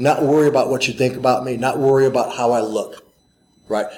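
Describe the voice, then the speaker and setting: A man with an American accent uses a plain, everyday voice, pitched fairly high for a man, with fairly even intonation. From US Midwest (St. Louis, Missouri). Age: 50s. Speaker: martial arts teacher. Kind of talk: interview. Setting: fan convention.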